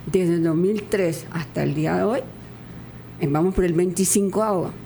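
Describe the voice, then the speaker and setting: A woman talks at a moderate pace with a fairly low pitch. Room echo is audible. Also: ordinary pitch variation. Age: 80s+. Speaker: masters athlete. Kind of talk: radio interview.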